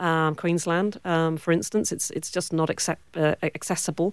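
Recorded very cleanly against a silent background, a woman with a British accent speaks at a moderate pace and fairly low pitch, her sound dry and close with no echo. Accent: British accent, still present. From Cornwall, southwest England. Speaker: film producer and director. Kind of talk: interview.

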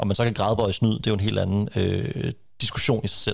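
A man talks at a fairly quick pace, his fairly low voice showing vocal fry. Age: young. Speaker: historian. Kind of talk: panel discussion. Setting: remote connection.

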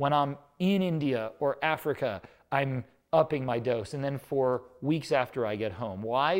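A man's normal speaking voice, fairly high in pitch with lively intonation, in a very clean recording with a silent background. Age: 40s. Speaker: nutrition company co-founder and author. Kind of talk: casual chat.

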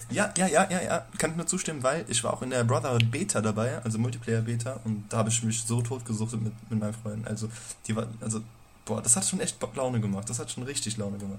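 Somewhat breathy and delivered at a very fast clip, the voice shows ordinary pitch variation. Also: man, medium pitch for a man. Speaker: podcast co-host. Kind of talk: casual chat. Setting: home recording at night. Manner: quiet.

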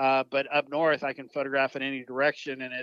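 In a Texan accent, a man speaks at a moderate pace and medium pitch, his tone bright and sharp, his intonation monotone and flat, the sound dry and close with no echo. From South Texas. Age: 50s. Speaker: wildlife photographer. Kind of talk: casual interview.

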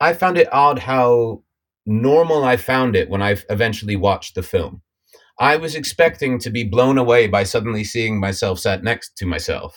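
With an American accent and a normal speaking voice, a man speaks at a moderate pace and medium pitch, his intonation lively. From United States. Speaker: actor. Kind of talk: casual interview.

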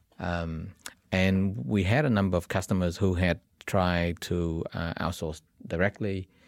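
A man in a Vietnamese accent talks at a fairly slow pace, his pitch very deep and low. His intonation is fairly even, and the recording is very clean with a silent background. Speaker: tech entrepreneur. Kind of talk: interview. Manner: hesitant, many fillers.

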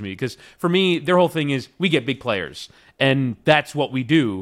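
Fairly high in pitch, a man speaks at a fairly quick pace with lively intonation. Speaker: soccer broadcaster. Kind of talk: casual chat. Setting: remote podcast recording. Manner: more purposeful and announcer-like on broadcasts.

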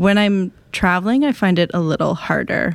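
A woman with an American accent speaks at a fairly quick pace, her fairly low pitch carrying vocal fry. The recording is very clean, with a silent background. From Wisconsin. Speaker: author. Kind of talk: casual chat.

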